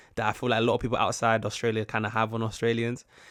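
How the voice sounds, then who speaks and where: A man with a British accent at a very fast pace and medium pitch, in a very clean recording with a silent background. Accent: British, some viewers say posh-sounding. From UK. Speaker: YouTube reactor. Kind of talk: casual reaction commentary. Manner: halting, many false starts.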